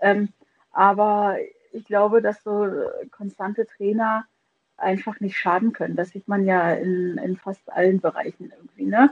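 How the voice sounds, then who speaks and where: This woman has a normal speaking voice with medium pitch. She talks at a fairly slow pace, her intonation fairly even. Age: 30s. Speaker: podcast co-host, former women's football player. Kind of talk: casual chat. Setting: remote call.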